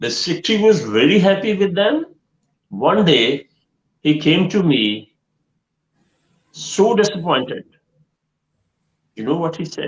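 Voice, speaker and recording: A man with a Pakistani accent and high pitch, very wide pitch swings, and long, frequent pauses. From Pakistan, Punjab. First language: Punjabi or Urdu. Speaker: education trainer and counsellor. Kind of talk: online live Q&A session. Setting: online live stream.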